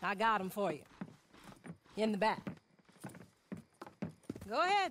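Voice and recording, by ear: Using a put-on character voice, a man speaks slowly at a high pitch. His tone is fairly bright, with big pitch swings.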